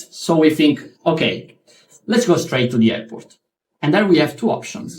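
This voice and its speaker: A man with an Italian accent and fairly high pitch talks at a moderate pace, his pitch swinging very widely. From Italy. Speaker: stand-up comedian. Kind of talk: stand-up comedy storytelling. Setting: live comedy venue.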